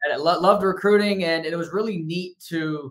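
A man speaks with a bright, sharp tone and fairly even intonation. The background is quiet. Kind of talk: interview answer. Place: home room.

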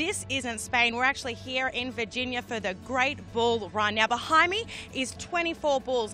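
A woman's high-pitched, upbeat voice at a moderate pace with ordinary pitch variation, faint music in the background and a dry sound with no echo. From Australia. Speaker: broadcast journalist. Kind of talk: TV entertainment report to camera. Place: open country. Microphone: handheld.

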